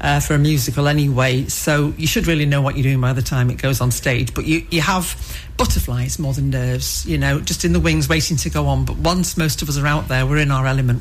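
A woman talks fairly quickly against noticeable background noise, with audible echo from the room. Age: 60s. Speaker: amateur theatre performer. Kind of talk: interview.

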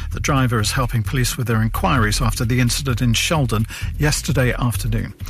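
The speech races at a very fast pace over noticeable background noise. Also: man. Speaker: news reader. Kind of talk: radio news bulletin reading.

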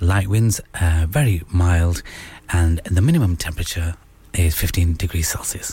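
Noticeable background noise sits behind a voice that moves at a fairly slow pace with ordinary pitch variation. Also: man, very deep, low pitch for a man. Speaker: radio host. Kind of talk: radio DJ patter, late-night show host chatting. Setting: studio. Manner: warm, chatty, relaxed, casual, with Urdu/Hindi phrases mixed in and friendly sign-offs.

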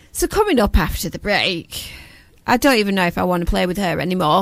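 A woman speaks with a Lancashire accent. Her pace is fairly quick. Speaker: community radio presenter and charity founder. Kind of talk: casual chat. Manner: loud.

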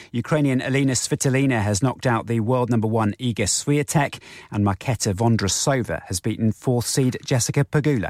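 This man has a plain, everyday voice at a medium pitch, speaking at a fairly quick pace with hardly any pauses and ordinary pitch variation, in a dry, close sound with no echo. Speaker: radio newsreader. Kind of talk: radio news bulletin read aloud, crisp headline delivery. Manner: brisk, clipped, formal and even-toned newsreader pace.

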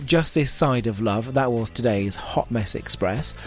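Fairly quick speech from a man over background music. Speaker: radio DJ. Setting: radio studio. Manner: upbeat, chatty, warmly conversational, self-deprecating, addressing listeners directly.

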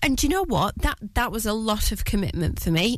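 A woman speaks with vocal fry. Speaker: fill-in radio presenter. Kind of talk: radio DJ patter, live drivetime show chat between songs. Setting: studio. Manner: warm, teasing, casual chat with listeners.

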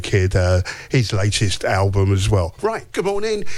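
A man speaks over noticeable background noise. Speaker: radio host. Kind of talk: radio DJ patter on a breakfast show. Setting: studio. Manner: chatty, relaxed and upbeat, rambling off on tangents.

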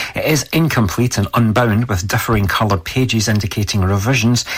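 At a fairly quick pace, the speaker talks with a Scottish accent and a somewhat breathy sound. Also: man. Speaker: radio newsreader. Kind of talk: brisk local-radio weather report, read from a script. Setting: radio studio. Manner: steady, even newsreader pacing; occasional stumbles, corrects himself mid-sentence.

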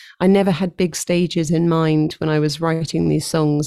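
This woman speaks in a southern English accent with a very deep, low pitch. Her tone is dark and mellow, and her intonation is monotone and flat. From London, England. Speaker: worship leader and songwriter. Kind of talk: casual interview.

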